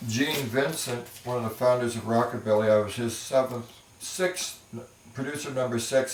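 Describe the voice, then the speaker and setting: Noticeable background noise behind a man's voice in an American accent. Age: 60s. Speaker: music producer. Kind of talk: casual talk to camera.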